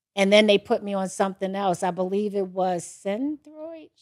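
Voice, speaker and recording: A woman speaks at a moderate pace in a normal speaking voice, with a medium pitch and a dry, close sound with no echo. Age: 60s. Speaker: podcast host. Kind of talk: casual interview. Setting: studio.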